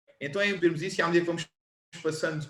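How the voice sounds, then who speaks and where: This man has a European Portuguese accent and a fairly high pitch. His pitch varies in an ordinary way. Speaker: personal trainer and former rugby player. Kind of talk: lecture. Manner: measured pace.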